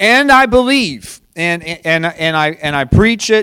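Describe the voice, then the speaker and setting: High-pitched male voice, animated in tone, on a very clean recording with a silent background. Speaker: pastor. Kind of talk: sermon. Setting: house church with congregation.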